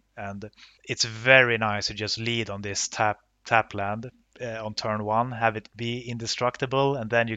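With a Swedish accent, a medium-pitched man talks at a moderate pace in a flat, monotone intonation with big swings in loudness. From northern Sweden, Luleå. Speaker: card game competitor. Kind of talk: podcast interview. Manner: hesitant with many fillers.

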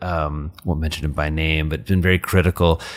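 The man talks very fast with an American accent. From US Midwest, rural Indiana. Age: 40s. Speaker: psychiatrist. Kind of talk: interview conversation.

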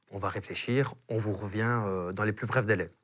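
The recording is very clean, with a silent background. A man with a fairly low pitch speaks at a fairly slow pace with ordinary pitch variation. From Belgium. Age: 30s. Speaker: real estate agent. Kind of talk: casual interview chat. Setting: studio.

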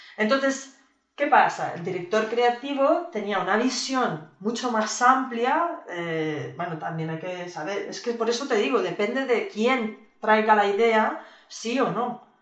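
The voice moves at a fairly slow pace with very wide pitch swings and big swings in loudness, and audible room echo can be heard. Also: woman. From Spain. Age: 40s. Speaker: video game studio executive and producer. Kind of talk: casual interview.

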